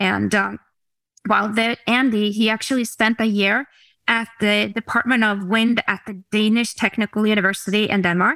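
Speech with a Norwegian accent comes at a moderate pace in monotone, flat intonation and a bright, sharp tone. The recording is very clean with a silent background and a dry, close sound with no echo. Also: woman, fairly high pitch for a woman. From Norway, Oslo area. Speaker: company executive. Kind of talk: presentation and interview.

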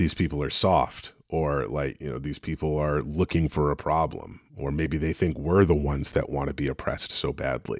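The voice carries vocal fry and fairly even intonation at a moderate pace with hardly any pauses. The recording is very clean, with a silent background. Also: man, very deep, low pitch for a man. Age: 30s. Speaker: podcast co-host. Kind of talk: casual chat.

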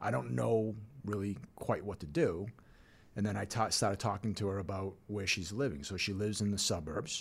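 A man in an unremarkable speaking voice talks at a moderate pace and fairly low pitch, with ordinary pitch variation. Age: 50s. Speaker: financial advisor, firm founder. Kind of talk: casual chat.

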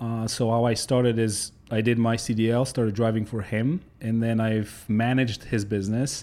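A man with a Polish accent speaks at a moderate pace and medium pitch in a flat monotone, dark and mellow in tone. His loudness stays very even in a very clean recording with a silent background. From Poland. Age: 30s. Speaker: trucking company owner. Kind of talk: casual interview.

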